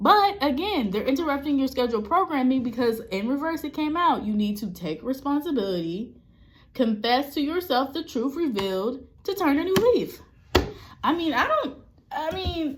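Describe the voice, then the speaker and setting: The voice is loud and animated, with very wide pitch swings and noticeable background noise. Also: woman. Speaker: spiritual reader and death doula. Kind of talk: tarot reading monologue.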